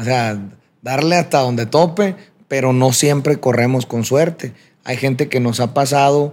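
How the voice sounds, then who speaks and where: The clip holds a normal speaking voice with ordinary pitch variation. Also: man. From Sinaloa, Mexico (Culiacán area). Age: 30s. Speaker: singer. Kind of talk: interview.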